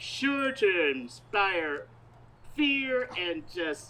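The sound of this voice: A woman puts on a character voice with a bright, sharp tone. She goes at a very slow pace with big pitch swings. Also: medium pitch for a woman.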